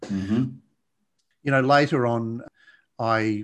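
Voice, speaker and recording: A man with an Australian accent, medium in pitch and calm in tone, at a fairly slow pace against a quiet background. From Australia, Blue Mountains west of Sydney. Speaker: addiction coach and podcast host. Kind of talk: interview conversation.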